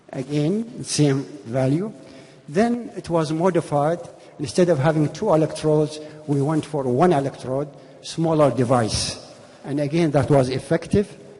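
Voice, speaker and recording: Noticeable background noise sits behind a man talking at a fairly slow pace. His pitch is fairly high, with ordinary variation. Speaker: physician. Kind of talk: conference lecture.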